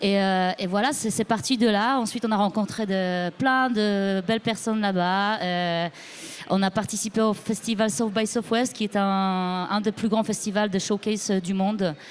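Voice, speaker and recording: Speaking in a Polish accent, a woman uses a medium pitch and fairly even intonation. Her pace is fairly slow and her loudness very even. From Poland. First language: Polish (speaking French). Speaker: musician. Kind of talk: interview. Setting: live broadcast from record fair. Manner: halting.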